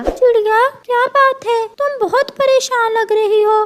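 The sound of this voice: A woman in a cartoonish character voice talks fairly slowly, her pitch extremely high.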